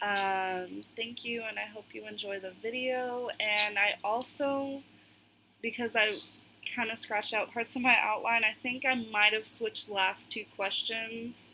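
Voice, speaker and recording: Fairly high-pitched and fairly slow, a woman speaks with fairly even intonation. Her loudness swings widely. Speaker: social work student. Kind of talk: class video presentation. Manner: halting, frequent ums.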